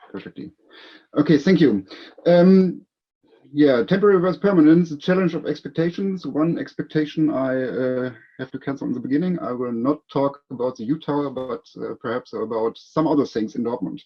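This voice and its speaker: Someone with a German accent talks at a fairly quick pace with lively intonation. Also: man, fairly high pitch for a man. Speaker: city economic development officer. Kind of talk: conference presentation. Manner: reading from notes.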